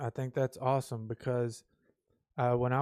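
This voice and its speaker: A man with an American accent speaks at a medium pitch in a dark, mellow tone. The recording is very clean, with a silent background. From United States. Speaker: channel host, commentator. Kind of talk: casual political commentary monologue. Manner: hesitant, many fillers (uh, um, you know).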